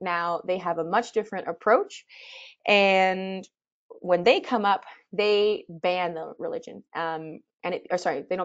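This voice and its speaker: Over a quiet background, a woman with a plain, everyday voice speaks fairly slowly at medium pitch with fairly even intonation. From Canada. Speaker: expedition leader and presenter; presenter. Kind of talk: webinar presentation. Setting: webinar. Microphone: webcam.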